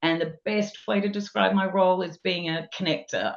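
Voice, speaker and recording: A woman speaks at a moderate pace with a slight Australian accent. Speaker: technology and people leader. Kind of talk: podcast interview.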